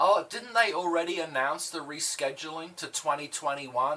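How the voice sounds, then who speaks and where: The speaker has an Australian accent and ordinary pitch variation. The pace is moderate, with noticeable background noise. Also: man. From Australia (Adelaide). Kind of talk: casual chat.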